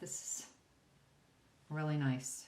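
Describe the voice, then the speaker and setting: Her pace is fairly slow. The woman's voice is somewhat breathy. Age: 60s. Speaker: beauty vlogger. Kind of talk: makeup tutorial talk to camera. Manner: casual, chatty.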